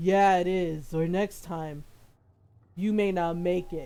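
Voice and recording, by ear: A booming, put-on character voice sits at a middle pitch. It moves at a fairly slow pace.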